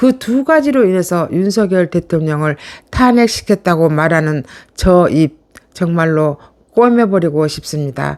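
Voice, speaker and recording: A woman with a fairly low pitch speaks fairly slowly with lively intonation. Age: middle-aged. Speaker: political YouTube commentator. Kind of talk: political commentary monologue. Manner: animated.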